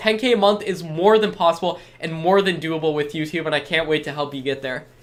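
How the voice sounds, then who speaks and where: The tone is enthusiastic and the pace very fast. Background noise is noticeable. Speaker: online course seller. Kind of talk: live stream sales pitch with chat Q&A. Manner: casual, enthusiastic.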